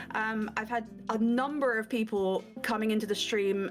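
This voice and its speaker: With music in the background, a woman with a Scottish accent speaks at a fairly high pitch with ordinary pitch variation. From Scotland. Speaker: streamer and voice actress. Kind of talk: interview answer.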